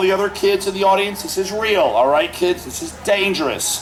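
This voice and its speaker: In a room with audible echo and noticeable background noise, a man talks in a high pitch at a moderate pace with an animated tone. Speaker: street performer, fire act comedian. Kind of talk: live comedy show with audience. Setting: outdoors at a festival with audience.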